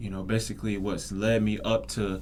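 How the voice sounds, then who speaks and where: With an American accent and fairly low pitch, a man speaks at a moderate pace amid audible room echo. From Florida (Daytona Beach). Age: 20s. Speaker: podcast host, student. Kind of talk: casual monologue. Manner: hesitant, many fillers.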